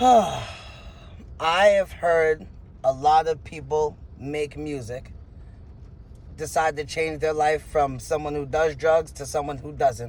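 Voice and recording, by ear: Speaking at a slow pace with long, frequent pauses, a man uses a fairly high pitch with ordinary pitch variation and a slightly mellow tone.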